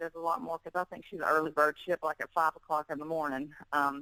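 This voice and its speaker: With a strong Southern US accent and a bright, sharp tone, a woman speaks in fairly even intonation, the sound dry and close with no echo. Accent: heavy Southern US. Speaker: fitness model and bikini competitor. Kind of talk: interview.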